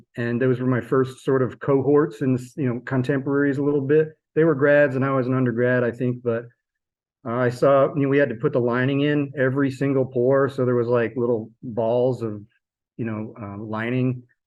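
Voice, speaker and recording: In a flat monotone, a man with a medium-pitched voice speaks at a moderate pace. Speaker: sculpture professor. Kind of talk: interview. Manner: mumbling; halting.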